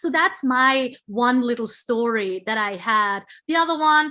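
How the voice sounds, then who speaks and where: A woman with a non-native accent speaks in a bright, sharp tone, her fairly high pitch showing ordinary variation. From Switzerland. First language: not English. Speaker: panel guest. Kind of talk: casual chat.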